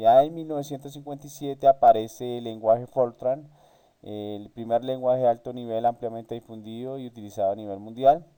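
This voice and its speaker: A man talks at a fairly quick pace in a dark, mellow tone of medium pitch. His intonation is fairly even, though his loudness swings widely. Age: 30s. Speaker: university student. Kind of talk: class presentation. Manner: halting, many fillers.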